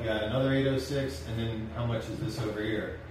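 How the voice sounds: A man speaks at medium pitch and a moderate pace with fairly even intonation. Clear background noise and audible room echo surround him.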